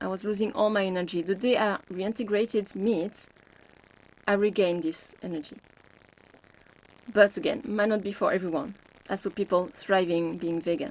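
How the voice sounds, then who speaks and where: A woman with a French accent at a medium pitch, a moderate pace, ordinary pitch variation and long, frequent pauses. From France. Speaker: health coach. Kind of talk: webinar group discussion.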